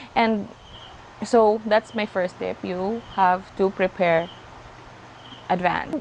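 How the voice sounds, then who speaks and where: A woman speaks with a Filipino accent at a medium pitch. Her pace is fairly slow. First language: Tagalog. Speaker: vlogger. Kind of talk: casual talk to camera. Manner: halting, code-switching.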